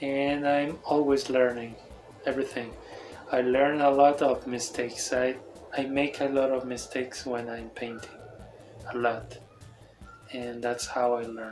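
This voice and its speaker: Music plays under audible room echo as a man with a non-native accent speaks at a fairly slow pace in a medium pitch, his intonation monotone and flat, with long, frequent pauses. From Mexico. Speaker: toy painter and designer. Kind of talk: casual showcase talk. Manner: halting.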